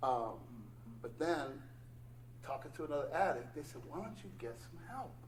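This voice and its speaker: Speaking at a moderate pace with long, frequent pauses, a man's voice swings widely in loudness amid noticeable background noise and audible room echo. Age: 60s. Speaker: recovering addict, meeting speaker. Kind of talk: testimony at recovery meeting.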